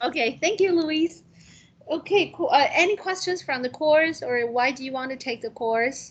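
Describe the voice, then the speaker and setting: With lively intonation, a woman talks at a moderate pace in a high pitch. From Taiwan. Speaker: university instructor. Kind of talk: class discussion. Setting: classroom with remote students on video call.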